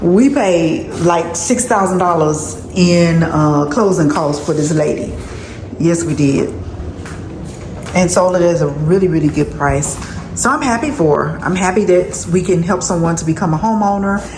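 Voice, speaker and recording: An upbeat woman with a fairly low pitch and ordinary pitch variation talks at a moderate pace amid noticeable background noise. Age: 50s. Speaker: house flipper. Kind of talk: casual vlog talk to camera.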